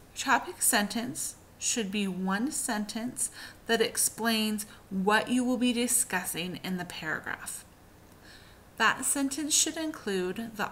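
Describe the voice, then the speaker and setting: A woman's fairly high, bright, sharp voice with ordinary pitch variation at a fairly slow pace. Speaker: teacher. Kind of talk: tutorial.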